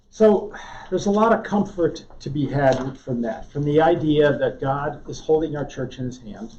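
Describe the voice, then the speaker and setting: A man speaks at a moderate pace with fairly high pitch, lively intonation and big swings in loudness. Audible room echo surrounds his voice. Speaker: Bible class teacher. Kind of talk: lecture. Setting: classroom with live audience, also streamed. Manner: soft-spoken, voice drops; halting. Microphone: too quiet for back of room.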